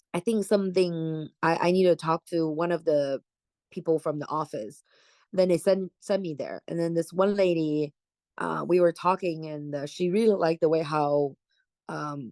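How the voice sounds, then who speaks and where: A dark, mellow tone with a Chinese accent, dry and close with no echo, showing ordinary pitch variation against a quiet background. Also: woman. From China, Jilin province. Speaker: real estate agent. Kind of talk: oral history interview answer.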